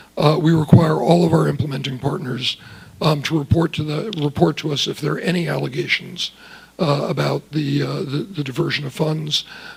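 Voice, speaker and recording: Over noticeable background noise, the speech moves at a fairly quick pace with fairly even intonation. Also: man, fairly high pitch for a man. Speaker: government official testifying at hearing. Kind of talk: congressional testimony. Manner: soft-spoken; halting, many fillers.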